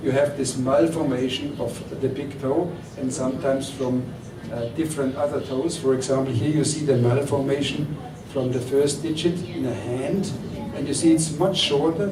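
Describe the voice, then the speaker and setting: Over noticeable background noise and audible room echo, a man talks at a moderate pace with a fairly high pitch and fairly even intonation. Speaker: doctor. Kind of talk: lecture.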